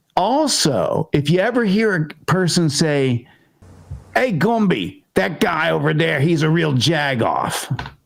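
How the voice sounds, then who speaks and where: With a Pittsburgh accent, a man speaks very slowly at a fairly high pitch, his intonation lively and his loudness very even. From Pittsburgh, Pennsylvania. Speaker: interview show host. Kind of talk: casual interview.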